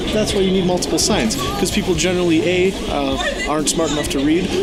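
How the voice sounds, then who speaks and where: Over music in the background, a man talks at a very fast pace with ordinary pitch variation, and the room echo is audible. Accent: American. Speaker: comedian. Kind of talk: casual vlog narration. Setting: bowling alley.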